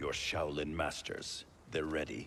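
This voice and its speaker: Over clear background noise, a man puts on a character voice that is very deep and low, delivered at a fairly slow pace. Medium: video game. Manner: stern, commanding.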